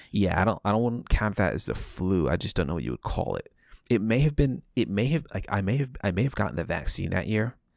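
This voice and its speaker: Vocal fry and lively intonation at a very fast pace, on a very clean recording with a silent background. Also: man, fairly low pitch for a man. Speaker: podcast host. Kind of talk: casual chat. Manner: hesitant, filler-heavy.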